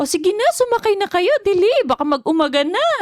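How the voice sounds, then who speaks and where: Putting on a character voice, a woman speaks at an extremely high pitch and a fairly quick pace. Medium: actual play.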